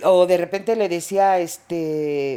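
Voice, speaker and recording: Her medium-pitched voice has a dark, mellow tone, and this woman shows ordinary pitch variation. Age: 60s. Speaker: mother of a podcast host. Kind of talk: casual chat.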